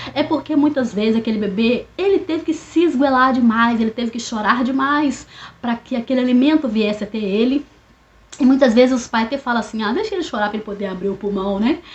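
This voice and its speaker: Noticeable background noise sits behind a woman's high-pitched voice. She talks at a fairly quick pace with ordinary pitch variation. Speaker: therapist. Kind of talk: educational monologue. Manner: fast; casual, hesitant.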